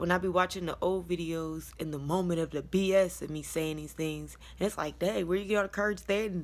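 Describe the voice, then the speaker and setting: A woman's fairly low voice at a fairly quick pace, with fairly even intonation and hardly any pauses. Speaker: vlogger. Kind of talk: personal story time.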